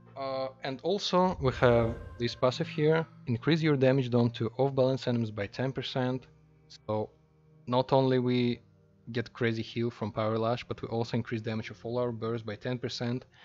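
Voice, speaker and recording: A man speaks at a medium pitch and a moderate pace. His pitch varies in an ordinary way, with music playing behind him. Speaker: online game player. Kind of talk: game build guide talk. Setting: low-quality microphone. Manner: enthusiastic.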